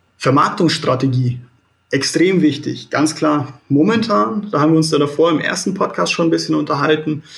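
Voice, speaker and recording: A man with a fairly high pitch speaks at a moderate pace, showing ordinary pitch variation. His voice has vocal fry, and his loudness stays very even. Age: 20s. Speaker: real estate credit analyst. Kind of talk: interview. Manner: halting, many fillers.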